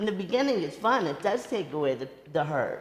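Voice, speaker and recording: With audible room echo, a woman talks at a fairly quick pace in a medium pitch. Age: 60s. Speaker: rabbi and author. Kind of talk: talk with audience Q&A. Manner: halting, repeats words.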